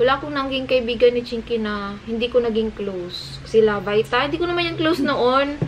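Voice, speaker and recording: Over noticeable background noise, a woman with a high pitch speaks with lively intonation and hardly any pauses, in a Visayan accent. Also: fairly quick pace. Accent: Visayan-accented Tagalog. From Cebu, Philippines. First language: Cebuano (Bisaya) (speaking Tagalog). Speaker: vlogger. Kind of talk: casual chat.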